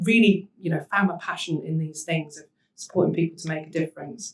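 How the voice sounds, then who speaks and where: Very fast and somewhat breathy, a woman speaks at a fairly low pitch with fairly even intonation. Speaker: social enterprise managing director. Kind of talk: panel talk.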